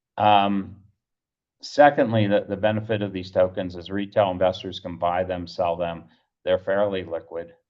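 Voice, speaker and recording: Moderately paced with fairly even intonation, a man with a fairly low pitch has an unremarkable speaking voice that shows big swings in loudness. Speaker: startup founder pitching. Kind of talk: pitch presentation.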